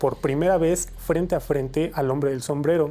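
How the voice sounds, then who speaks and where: With a Mexican accent, a man talks at a fairly slow pace, his fairly high voice carrying a dark, mellow tone. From Mexico, State of Mexico. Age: 20s. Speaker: interviewee sharing paranormal experiences. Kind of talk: testimony. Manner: hesitant, many fillers.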